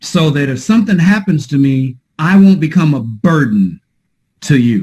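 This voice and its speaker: A man with a fairly high pitch talks at a moderate pace. His tone is animated and his intonation lively. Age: 50s. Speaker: podcast host, insurance agency mentor. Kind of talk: casual interview chat.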